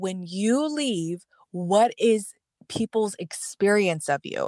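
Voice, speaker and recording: A woman with an unremarkable speaking voice, medium pitch and lively intonation. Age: 30s. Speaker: podcast co-host, astrologer. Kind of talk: casual chat.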